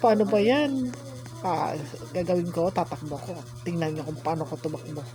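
Amid noticeable background noise, a woman's voice moves in very wide pitch swings. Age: old. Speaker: YouTuber. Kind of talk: gameplay commentary. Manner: animated.

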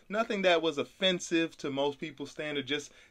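With a normal speaking voice, a man talks at a fairly quick pace, his pitch varying in an ordinary way. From Brooklyn, New York, later North Carolina. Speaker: podcast host, entrepreneur. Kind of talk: casual chat.

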